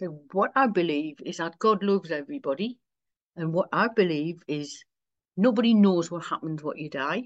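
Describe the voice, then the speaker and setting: A woman with a Wearside accent talks at a moderate pace, her medium pitch making very wide swings. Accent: Wearside (Sunderland) English. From Sunderland, north-east England. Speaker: minister, priest. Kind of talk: casual interview chat.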